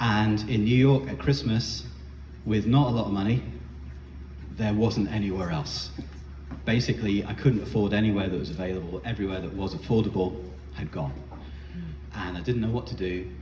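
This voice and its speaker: With a British accent, a man of fairly low pitch talks at a fairly quick pace with lively intonation and long, frequent pauses, amid noticeable background noise and audible room echo. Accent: non-American, British. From UK. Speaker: spoken word performer. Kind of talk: storytelling performance. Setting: bar stage with audience. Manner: casual, many fillers and hesitations.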